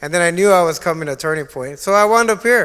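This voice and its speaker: A man with an American accent speaks very fast in a high voice, his pitch moving in an ordinary way. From Texas, San Antonio. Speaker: former addict, ministry program graduate. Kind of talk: testimony. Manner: halting, with many repetitions.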